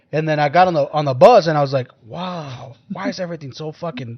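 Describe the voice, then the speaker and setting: Speaking at a fairly quick pace, a man with a Mexican accent has a fairly high pitch. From Mexico. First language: Spanish. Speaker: podcast host. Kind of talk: casual chat.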